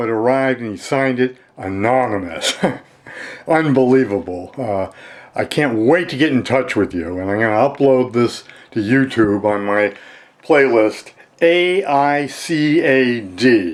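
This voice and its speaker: This man speaks at a fairly slow pace. His pitch sits at a medium level. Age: 60s. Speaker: amateur true crime theorist. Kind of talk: casual video message. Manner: halting.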